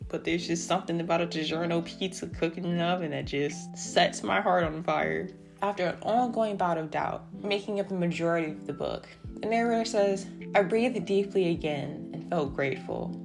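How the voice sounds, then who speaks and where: A woman mumbling at a fairly quick pace with an American accent, music in the background. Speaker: book reviewer. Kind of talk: book review narration.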